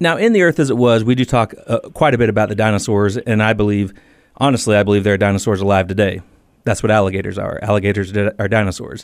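Very fast speech from a man with a fairly low pitch, recorded very cleanly against a silent background. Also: ordinary pitch variation. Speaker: author and former Marine. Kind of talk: radio interview.

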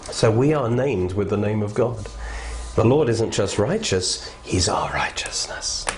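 A man speaks rather slowly while audible noise fills the background. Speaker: Bible teacher. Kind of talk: fervent prayer. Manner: earnest, fervent.

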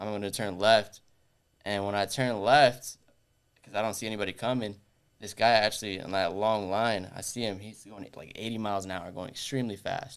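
An ordinary speaking voice moves at a fairly quick pace, with fairly even intonation and big swings in loudness. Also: man, fairly low pitch for a man. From US, Orlando, Florida, of Puerto Rican background. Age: 20s. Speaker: timeshare sales rep. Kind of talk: casual interview.

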